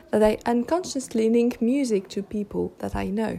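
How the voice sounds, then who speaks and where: Speaking at a very slow pace, a woman with a fairly high pitch is heard over noticeable background noise. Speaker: podcast host. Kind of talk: solo monologue. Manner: casual with hesitations; slow careful articulation in English.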